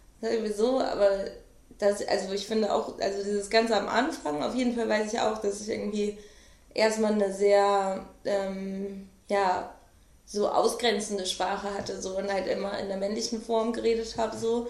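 There is audible room echo as a woman speaks at medium pitch with fairly even intonation. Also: moderate pace. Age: 20s. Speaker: rapper. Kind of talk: casual interview. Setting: home studio.

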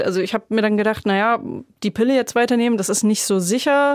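Over a very clean recording with a silent background, a woman talks at a very fast pace. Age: 30s. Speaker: childfree woman, sterilized, runs an advocacy group. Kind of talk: interview, personal story.

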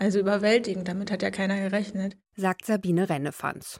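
The woman has an unremarkable speaking voice and a fairly even intonation. She talks at a fairly quick pace against a quiet background. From East Germany. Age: 40s. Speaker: journalist. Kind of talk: interview.

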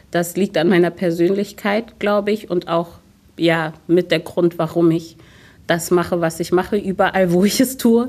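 A woman speaks at a moderate pace in an unremarkable speaking voice, her pitch fairly low with ordinary variation, on a very clean recording with a silent background. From Germany, Hunsrück (Rhineland-Palatinate). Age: 30s. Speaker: city politician and theatre diversity officer. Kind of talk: radio interview. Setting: city hall interview.

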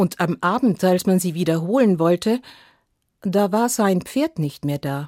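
A woman with a plain, everyday voice talks at a fairly slow pace and medium pitch, the sound dry and close with no echo. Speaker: storyteller. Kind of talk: fairy tale telling. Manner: calm, measured storytelling pace; repetitive, sing-song refrain with pauses.

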